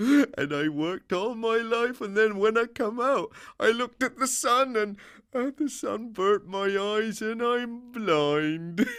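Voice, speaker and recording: A man puts on a character voice, high in pitch and at a fairly slow pace. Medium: read story.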